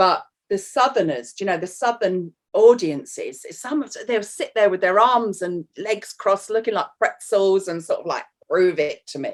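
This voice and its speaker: With a London accent, a woman at medium pitch uses lively intonation and big swings in loudness, moving at a moderate pace. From North London, England. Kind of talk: casual chat. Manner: animated.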